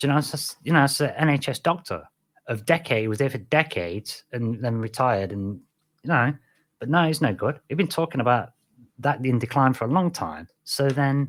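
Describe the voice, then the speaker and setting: The voice moves at a fairly quick pace with lively intonation, captured on a very clean recording with a silent background. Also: man, medium pitch for a man. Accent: British. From Britain. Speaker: podcast host. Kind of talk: casual solo podcast monologue. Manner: rambling with frequent fillers and restarts.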